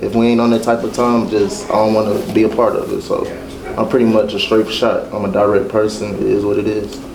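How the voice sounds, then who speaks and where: Through noticeable background noise and audible room echo, a man talks at a fairly quick pace. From Kentucky, Louisville. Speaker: basketball coach. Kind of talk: casual group introduction.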